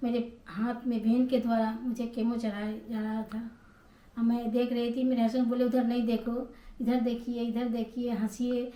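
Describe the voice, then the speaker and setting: Monotone and flat in intonation, a woman's fairly high voice carries a dark, mellow tone. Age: 60s. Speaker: cancer survivor vlogger. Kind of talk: personal testimony.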